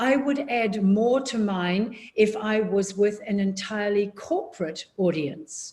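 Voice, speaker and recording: Lively in intonation and somewhat breathy, a woman of medium pitch speaks at a very slow pace. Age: 70s. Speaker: public speaking coach. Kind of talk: workshop Q&A. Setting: video call. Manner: slow, deliberate.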